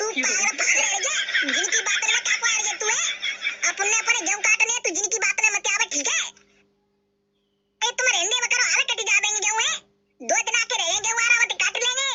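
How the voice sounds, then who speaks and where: A woman puts on a cartoonish character voice at an extremely high pitch with ordinary pitch variation. She speaks fairly quickly yet leaves long, frequent pauses. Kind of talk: cartoon comedy voice. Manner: rough, scolding.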